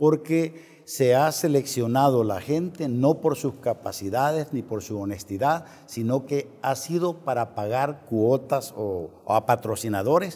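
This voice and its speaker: A man talks at a fairly slow pace with hardly any pauses and ordinary pitch variation. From El Salvador, eastern (La Unión, San Miguel); El Salvador. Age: 60s. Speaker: presidential candidate; interview guest, candidate. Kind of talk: political interview; interview answer. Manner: halting, many fillers and repetitions. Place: studio. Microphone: lapel.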